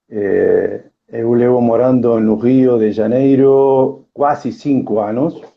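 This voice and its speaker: Speaking with an Argentine accent, a man keeps a medium pitch and fairly even intonation. His pace is very slow and his loudness very even. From Argentina, Tandil, Buenos Aires province. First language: Spanish (speaking Portuguese). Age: 50s. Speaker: workplace safety specialist and coach. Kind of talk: live stream interview. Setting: online live stream. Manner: halting, mixing Spanish and Portuguese.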